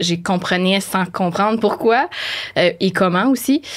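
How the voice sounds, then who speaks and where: A woman with a Quebec accent. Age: 20s. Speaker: animal communicator. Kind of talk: podcast interview. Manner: hesitant, many fillers.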